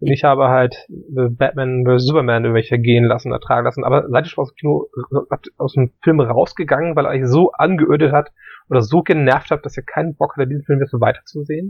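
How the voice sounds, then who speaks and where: Fairly high in pitch, this man has an unremarkable speaking voice and talks at a fairly quick pace with fairly even intonation. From northern Germany, Hamburg. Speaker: film podcast co-host. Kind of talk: casual chat.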